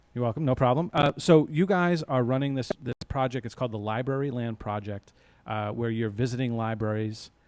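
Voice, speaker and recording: Recorded dry and close with no echo, a man speaks fairly quickly at a medium pitch with ordinary pitch variation. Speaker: local cable TV station director and host. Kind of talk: live local TV talk show. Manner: fast; casual, upbeat. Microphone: mic close in front of mouth.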